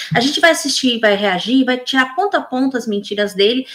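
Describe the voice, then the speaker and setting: A woman with a high pitch at a very fast pace, with ordinary pitch variation. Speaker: political commentator. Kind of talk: reaction video commentary. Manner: halting, with fillers.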